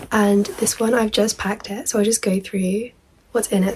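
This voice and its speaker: A woman's fairly high, monotone, flat delivery against noticeable background noise. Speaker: student vlogger. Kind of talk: casual show-and-tell vlog. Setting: at home.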